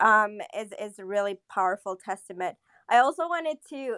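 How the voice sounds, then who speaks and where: A woman with an unremarkable speaking voice, fairly high in pitch, talks at a moderate pace in a dry, close sound with no echo. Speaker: audience participant. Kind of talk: live audio room chat. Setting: live online audio room.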